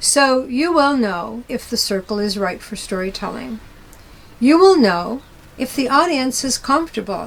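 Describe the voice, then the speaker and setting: A woman's high-pitched voice, fairly slow and lively in intonation, with noticeable background noise. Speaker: storytelling teacher. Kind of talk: lecture.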